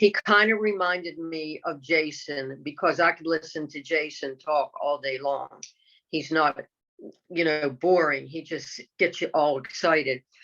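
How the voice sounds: A woman speaks at a fairly slow pace in a low voice with a fairly bright tone and ordinary pitch variation.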